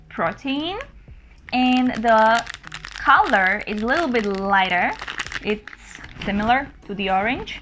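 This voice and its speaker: With a Slovak accent, a woman speaks at a very slow pace in a high pitch with lively intonation. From Slovakia. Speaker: food reviewer. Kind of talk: product review. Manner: casual.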